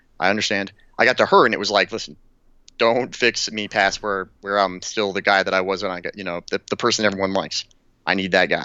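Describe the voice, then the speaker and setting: A man talks at a fairly quick pace with fairly even intonation in an ordinary speaking voice. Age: 30s. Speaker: war veteran. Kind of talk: casual chat.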